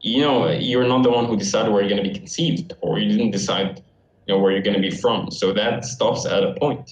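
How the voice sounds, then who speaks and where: At a very fast pace and very even loudness, a man speaks at medium pitch with an Arabic accent over noticeable background noise. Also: lively intonation. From Syria. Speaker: university student. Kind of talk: casual chat.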